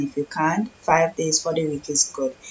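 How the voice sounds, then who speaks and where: A woman talks at a moderate pace with a very deep, low pitch. Noticeable background noise runs underneath. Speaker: fitness coach. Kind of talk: live stream talk. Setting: live stream. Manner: casual.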